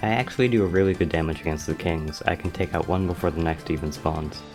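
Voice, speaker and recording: A man's very deep, low voice with ordinary pitch variation at a very fast pace, music in the background. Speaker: gaming video creator. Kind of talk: scripted gameplay commentary voiceover. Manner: stutter.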